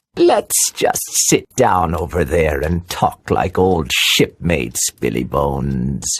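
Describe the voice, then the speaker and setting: This put-on character voice is very deep and low. It moves at a fairly slow pace with hardly any pauses. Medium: audio drama. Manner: sneering, falsely friendly.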